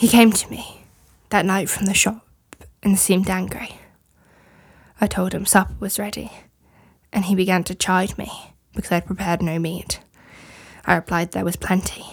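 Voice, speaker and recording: Speaking at a moderate pace with long, frequent pauses, a woman uses a medium pitch, monotone, flat intonation and vocal fry in a very clean recording with a silent background. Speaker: guest reader. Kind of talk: dramatic reading of trial testimony.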